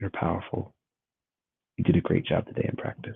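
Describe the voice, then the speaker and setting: A man speaks in a calm tone. He is soft-spoken. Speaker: qigong and meditation teacher. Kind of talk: guided meditation. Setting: live stream.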